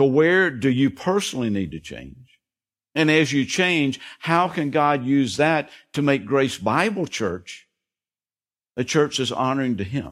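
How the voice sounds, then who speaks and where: Recorded very cleanly against a silent background, a man talks at a fairly slow pace in an unremarkable speaking voice. His pitch is fairly high and his intonation lively. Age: 60s. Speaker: pastor. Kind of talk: sermon. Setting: church.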